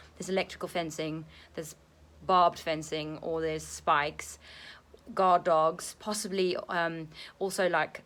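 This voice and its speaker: A woman with a fairly low pitch speaks in a monotone with flat intonation at a moderate pace, pausing long and often. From South Africa, Afrikaans-speaking. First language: Afrikaans. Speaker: ESL teacher and vlogger. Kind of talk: casual vlog monologue. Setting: at home, apartment. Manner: hesitant, many fillers.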